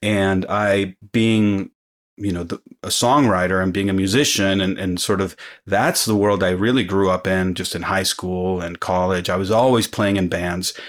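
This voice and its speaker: A man with an American accent talks at a moderate pace, his pitch fairly low and his intonation fairly even. It is a normal speaking voice, captured in a very clean recording with a silent background. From Mexico and US. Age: 40s. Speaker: musician. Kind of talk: casual chat. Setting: studio.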